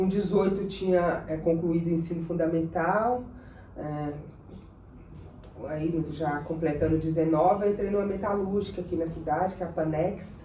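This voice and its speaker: With a northeastern Brazilian accent, a woman speaks fairly low and fairly evenly at a moderate pace, leaving long, frequent pauses amid audible room echo. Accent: northeastern Brazilian more than Minas. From northern Minas Gerais, Brazil (near Bahia border). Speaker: city councillor. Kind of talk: interview. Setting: councillor's office.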